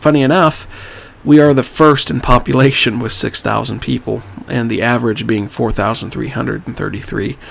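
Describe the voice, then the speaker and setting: An unremarkable speaking voice. It moves at a fairly quick pace. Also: man. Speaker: gaming YouTuber. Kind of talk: let's play commentary. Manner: casual, conversational.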